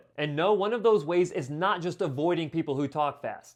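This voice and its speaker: A man with a high pitch at a fairly quick pace. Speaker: audiologist. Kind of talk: educational talk to camera. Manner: fast.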